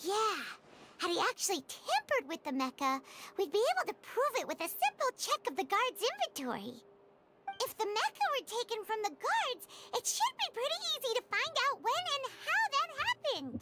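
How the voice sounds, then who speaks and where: An extremely high, squeaky put-on character voice with very wide pitch swings at a moderate pace. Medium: video game.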